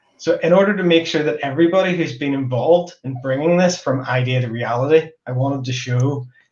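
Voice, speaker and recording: A man talks with hardly any pauses. Room echo is audible. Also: ordinary pitch variation, fairly quick pace. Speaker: host. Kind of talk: event opening remarks. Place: home room.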